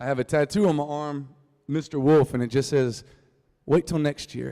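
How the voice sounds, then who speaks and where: Music plays in the background as a man with a North Carolina accent speaks at a fairly high pitch and a moderate pace with fairly even intonation, the sound dry and close with no echo. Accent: rural North Carolina Southern. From US South, North Carolina Piedmont (Reidsville). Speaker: singer-songwriter. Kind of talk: storytelling talk to a live audience. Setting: stage with audience. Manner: casual, joking.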